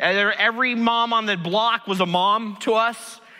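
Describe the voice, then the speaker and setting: A man speaks in a raised, projected voice at a high pitch, with an animated tone. Noticeable background noise is heard. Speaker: pastor. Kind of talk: sermon. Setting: church stage with audience. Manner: loud.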